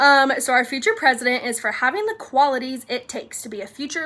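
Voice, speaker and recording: A woman with a high pitch speaks in a raised, projected voice at a fairly quick pace. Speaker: fifth grade teacher. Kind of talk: recorded awards video for students. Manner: casual, chatty with fillers.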